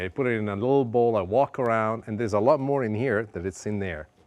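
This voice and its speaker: A man with an Italian accent speaks at a very fast pace and a medium pitch, with ordinary pitch variation against a quiet background. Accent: Italian accent often mistaken for New York. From Sicily, Italy. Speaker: cooking show host. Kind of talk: cooking show talk with personal story. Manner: warm, heartfelt.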